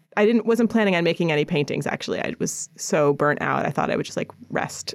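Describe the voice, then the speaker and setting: Vocal fry runs through this woman's very deep, low-pitched voice, which shows ordinary pitch variation. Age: 40s. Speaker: painter. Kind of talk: casual interview. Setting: studio.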